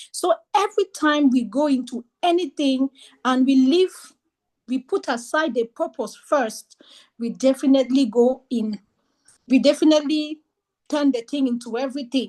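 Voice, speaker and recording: With a French accent, a woman speaks at a moderate pace in a high voice with ordinary pitch variation. She pauses long and often, and the sound is dry and close with no echo. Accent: French-speaking non-native English. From French-speaking region. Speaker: book club presenter. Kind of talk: book discussion presentation.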